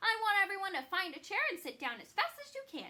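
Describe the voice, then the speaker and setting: A woman's squeaky, put-on character voice, extremely high and raised to project, racing along very fast with very wide pitch swings. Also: big swings in loudness. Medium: read story.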